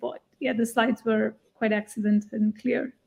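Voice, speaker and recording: This woman's fairly high, somewhat breathy voice has a dark, mellow tone and monotone, flat intonation in a dry, close sound with no echo. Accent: non-native. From India. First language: not English. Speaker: jury member giving pitch feedback. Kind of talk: panel feedback at live online event. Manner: hesitant, with fillers.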